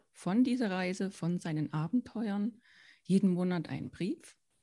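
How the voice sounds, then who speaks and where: Recorded very cleanly against a silent background, a woman talks at a fairly slow pace in a medium pitch with a dark, mellow tone. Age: 40s. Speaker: founder and children's author. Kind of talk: interview.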